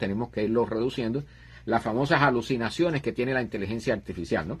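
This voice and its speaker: A man's somewhat breathy voice at a very fast pace over a quiet background. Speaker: livestream host on astronomy and science. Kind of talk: live stream chat.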